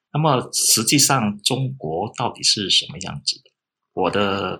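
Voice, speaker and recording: A man's fairly low voice with a bright, sharp tone, at a fairly slow pace. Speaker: local historian and author. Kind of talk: interview. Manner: relaxed, conversational with fillers.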